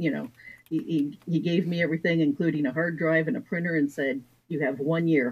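In an American accent, the speaker talks at a fairly quick pace. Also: woman. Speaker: author. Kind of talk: interview.

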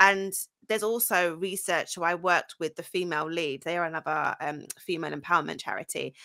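With a London accent, a woman talks at a fairly quick pace in a bright, sharp tone. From London, England (North London, Essex). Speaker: founder and CEO of a women's careers agency. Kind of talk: interview, casual chat.

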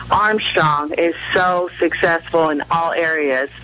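Against noticeable background noise, a woman with an American accent speaks at a very slow pace in a fairly low pitch. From Southern California, Orange County. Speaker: women's college basketball coach. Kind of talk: radio interview.

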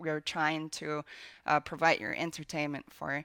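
In a Finnish accent, a woman with a very deep, low pitch speaks at a moderate pace, recorded very cleanly against a silent background with a dry, close sound and no echo. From Finland. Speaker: video game producer. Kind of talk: interview.

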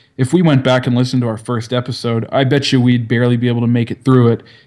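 A man talks at a very fast pace with a strong Canadian accent. His medium-pitched voice has a dark, mellow tone. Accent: Canadian, heavy. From Canada. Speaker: podcaster. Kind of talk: casual chat.

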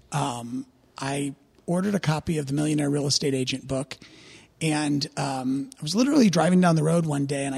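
A man's fairly high, somewhat breathy voice with a Midwestern American accent, at a moderate pace with ordinary pitch variation. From US Midwest, St. Louis, Missouri. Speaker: real estate regional director. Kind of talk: podcast interview.

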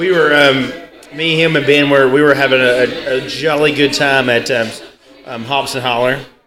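With music playing in the background, a man talks at a moderate pace in a fairly high voice. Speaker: podcast co-host. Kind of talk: casual chat.

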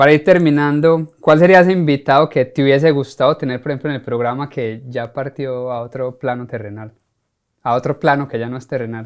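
A man with a plain, everyday voice speaks at a fairly high pitch and a fairly quick pace, with ordinary pitch variation and big swings in loudness. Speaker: podcast host, life coach. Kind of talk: interview.

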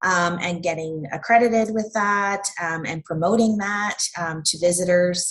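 Speaking with a Canadian accent, a woman keeps a fairly low pitch and fairly even intonation, moving at a fairly slow pace with hardly any pauses. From Ontario, Canada (Peterborough County). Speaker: tourism director. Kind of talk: interview.

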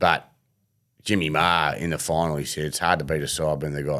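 A very deep, low-pitched man with an Australian accent at a moderate pace, on a very clean recording with a silent background. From Melbourne, Australia. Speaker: former fast bowler and bowling coach. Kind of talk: casual interview.

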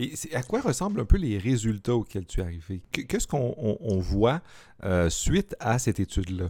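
On a very clean recording with a silent background, a man with a Quebec accent speaks at a moderate pace. His dark, mellow tone sits at a medium pitch with very wide pitch swings. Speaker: podcast host, philosophy teacher. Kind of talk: casual interview.

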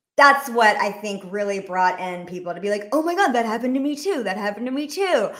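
A woman with an American accent talks at a very fast pace with hardly any pauses, her fairly high voice full of lively intonation. Audible room echo surrounds her. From US South, Rome, Georgia. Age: 30s. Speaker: comedy sketch creator. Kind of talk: casual chat.

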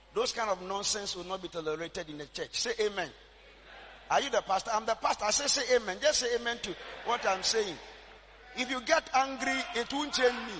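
A raised, projected voice with an animated tone and lively intonation, in a Ghanaian accent. Noticeable background noise runs under it. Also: man, extremely high pitch for a man, fairly quick pace. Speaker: prophet and church general overseer. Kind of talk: sermon, preacher in full flow, call and response. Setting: church with live congregation. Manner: animated, exhorting, rhythmic repetition, commanding.

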